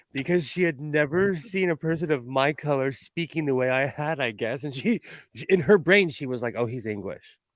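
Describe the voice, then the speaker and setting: With an American accent, a man talks at a moderate pace in a fairly high pitch, his intonation lively. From California. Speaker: live-stream co-host. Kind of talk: casual chat.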